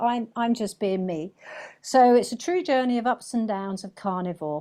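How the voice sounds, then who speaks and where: A woman with a southern English accent speaks in a dark, mellow tone at a moderate pace. Her pitch varies in an ordinary way against a quiet background. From England. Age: 60s. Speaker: carnivore diet vlogger. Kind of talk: interview testimony.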